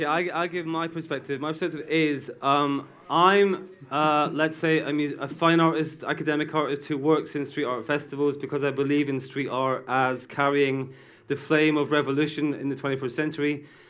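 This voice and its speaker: At a moderate pace, a man with a British accent speaks at a fairly high pitch. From Britain. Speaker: artist. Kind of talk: heated debate. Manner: animated.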